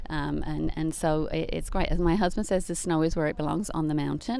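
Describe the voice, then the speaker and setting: A woman's fairly low voice with vocal fry and an English accent, at a very fast pace with ordinary pitch variation. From England. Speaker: life transitions coach. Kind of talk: casual interview.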